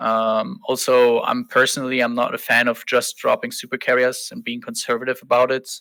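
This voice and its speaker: A man with a German accent speaks at a moderate pace on a very clean recording with a silent background. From Germany. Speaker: online game fleet commander. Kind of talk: podcast interview.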